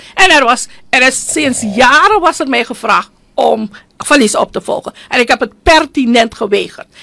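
Against a quiet background, a woman with a high pitch and a bright, sharp tone speaks in a raised, projected voice. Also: lively intonation, moderate pace. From Suriname. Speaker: politician and union leader; politician. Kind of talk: radio interview. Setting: studio. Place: studio. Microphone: studio mic.

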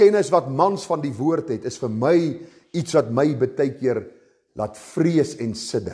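Over a quiet background, a man with a dark, mellow tone and vocal fry speaks with very wide pitch swings. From South Africa. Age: 50s. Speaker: pastor. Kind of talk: sermon. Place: church.

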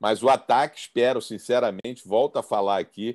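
A man speaks against a quiet background. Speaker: panelist. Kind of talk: commentary. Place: home room. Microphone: video call.

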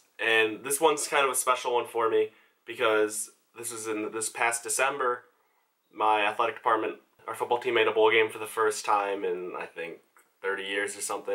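A man talks at a fairly quick pace over a quiet background. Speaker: photography intern vlogger. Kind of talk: casual vlog chat. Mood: enthusiastic storytelling. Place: home room.

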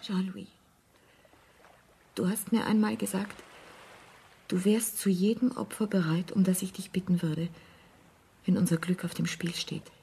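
In a put-on character voice, a woman talks at a fairly slow pace with fairly low pitch, a dark, mellow tone, a husky, rough edge, vocal fry and long, frequent pauses. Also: fairly even intonation.

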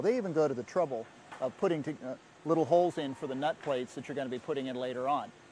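The speech moves at a very fast pace with ordinary pitch variation, over light background noise, the sound dry with no echo. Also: man. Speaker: magazine editor on a factory tour. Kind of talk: on-site report commentary. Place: factory. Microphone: lapel.

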